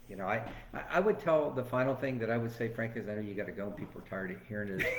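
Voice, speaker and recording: Amid noticeable background noise and audible room echo, a man with an American accent and medium pitch talks at a very fast pace. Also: ordinary pitch variation. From Florida, Venice area. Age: 60s. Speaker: former sheriff and political candidate. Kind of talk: interview.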